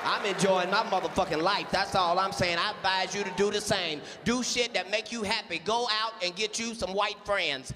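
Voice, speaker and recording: A man's raised, projected voice, high-pitched, with fairly even intonation, hardly any pauses, a moderate pace and noticeable background noise. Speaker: comedian doing a character voice. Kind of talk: radio ad pitchman parody.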